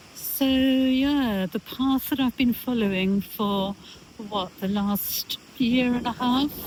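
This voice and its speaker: Through noticeable background noise, a woman speaks very slowly at a high pitch, with ordinary pitch variation and very even loudness. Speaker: lifestyle vlogger. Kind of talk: casual vlog monologue. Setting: outdoors on a beach. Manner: halting, many fillers. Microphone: no microphone, camera mic.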